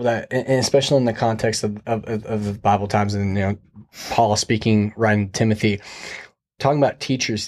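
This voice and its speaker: Male voice, medium-pitched, with an American accent and a fairly quick pace. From US Midwest (Iowa). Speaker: podcast host. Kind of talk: casual chat. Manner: animated.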